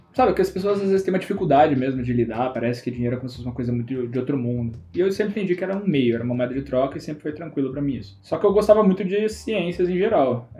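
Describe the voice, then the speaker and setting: Very fast and somewhat breathy, a man speaks in a fairly high voice with a dark, mellow tone and very wide pitch swings. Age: 20s. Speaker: entrepreneur. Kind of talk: casual chat.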